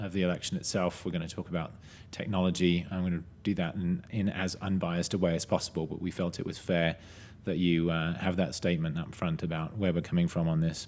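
A man with a very deep, low pitch, monotone, flat intonation, and a fairly quick pace. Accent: British. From Britain. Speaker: tech podcast host and analyst. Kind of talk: casual discussion podcast.

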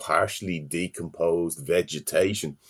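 A man talks with lively intonation in a Dublin accent. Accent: Dublin Irish. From Ireland, Dublin. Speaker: university lecturer in environmental science. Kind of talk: interview. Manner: halting, frequent fillers and repetitions.

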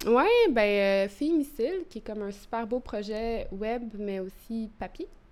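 With lively intonation, a woman talks at a fairly slow pace. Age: 30s. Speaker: poet. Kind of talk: interview. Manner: halting.

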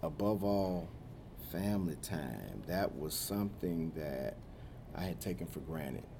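Speaking at a fairly slow pace, the man has a very deep, low pitch and a dark, mellow tone. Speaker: nonprofit leader. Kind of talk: casual conversation.

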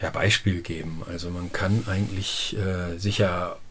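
A man talks at a fairly slow pace in a fairly low, somewhat breathy voice. Room echo is audible. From Lower Saxony, northern Germany. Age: 50s. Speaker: organic farmer. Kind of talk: interview. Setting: at home, face to face. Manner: hesitant, many fillers.

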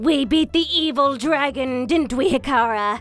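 A female-sounding voice uses a put-on character voice, high in pitch and at a moderate pace, with faint music in the background. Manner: playful impression.

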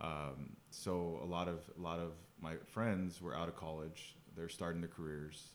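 A man with an American accent, very deep and low in pitch, fairly slow and flat in a monotone, amid audible room echo. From Phoenix, Arizona. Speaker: business owner, former homeless person. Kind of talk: interview testimony. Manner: halting.

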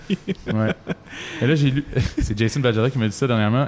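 A man with a normal speaking voice, fairly even intonation and a fairly slow pace. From Quebec, Laurentides. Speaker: singer-songwriter. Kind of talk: casual interview. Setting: outdoors in a park.

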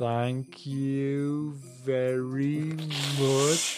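A man puts on a character voice, pitched at a medium level.

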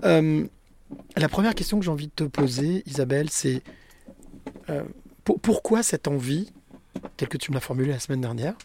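This man's voice sits fairly high in pitch, with a dark, mellow tone and a somewhat breathy quality. He leaves long, frequent pauses. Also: lively intonation, moderate pace. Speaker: podcast host. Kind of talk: interview.

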